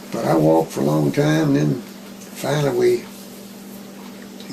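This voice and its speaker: Noticeable background noise sits behind this recording. A man with an American accent speaks at a fairly slow pace. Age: 80s+. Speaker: retired math teacher. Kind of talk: interview answer.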